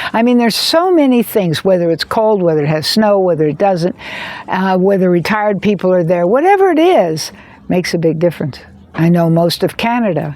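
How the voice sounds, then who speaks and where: A woman with an American accent over noticeable background noise. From United States. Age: 70s. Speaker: video creator on addiction and trauma. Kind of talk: personal monologue to camera. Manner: halting, many repeated words.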